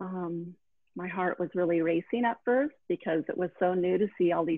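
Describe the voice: With a dry, close sound and no echo, a woman talks fairly slowly at a fairly low pitch with ordinary pitch variation.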